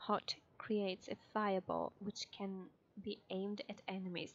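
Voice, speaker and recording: A woman speaks with a non-native accent. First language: not English. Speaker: gamer. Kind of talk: casual let's play commentary.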